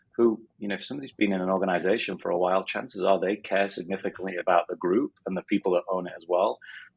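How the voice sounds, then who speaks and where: A man with a northern English accent has a very deep, low pitch. He talks at a very fast pace. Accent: northern English accent, still kept. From northern England, Sheffield. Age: 40s. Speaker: business coach. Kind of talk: interview. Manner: hesitant, many fillers.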